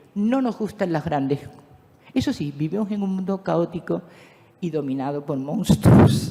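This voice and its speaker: Over noticeable background noise, a woman with a fairly low pitch talks at a fairly slow pace. Her intonation is lively, broken by long, frequent pauses. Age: 70s. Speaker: philosopher and speaker on spirituality. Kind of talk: lecture. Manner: animated.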